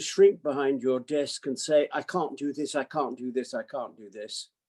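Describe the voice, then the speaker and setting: At a moderate pace, a man talks with a fairly high pitch and a dark, mellow tone, recorded with a dry, close sound and no echo. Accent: British. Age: 80s. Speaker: psychiatrist. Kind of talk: talk to online audience.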